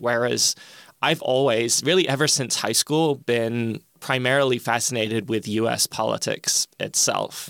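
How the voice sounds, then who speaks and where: In a very clean recording with a silent background, a man with an American accent speaks at a moderate pace and medium pitch. The sound is dry and close with no echo, the pitch varies in an ordinary way, and the loudness stays very even. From England. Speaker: political science professor. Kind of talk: interview answers.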